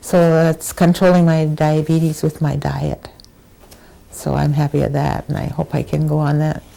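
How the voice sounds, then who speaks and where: Clear background noise accompanies a woman talking in an American accent. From Wisconsin, US. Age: 80s+. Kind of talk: oral history interview.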